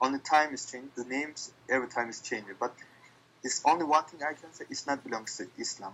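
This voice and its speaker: A man with a non-native accent talks at a very fast pace. His pitch is fairly high, with ordinary pitch variation. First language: Turkish. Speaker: interviewee. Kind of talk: casual interview. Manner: halting.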